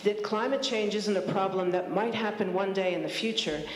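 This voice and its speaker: Speech at a fairly quick pace with ordinary pitch variation, heard against audible room echo. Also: woman. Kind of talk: public talk / testimony. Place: hall. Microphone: handheld.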